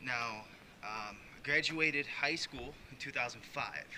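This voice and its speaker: Noticeable background noise sits behind a man speaking at medium pitch with an American accent. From US Midwest, Chicago. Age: 20s. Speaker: vlogger. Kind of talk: casual personal vlog. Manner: hesitant, many fillers.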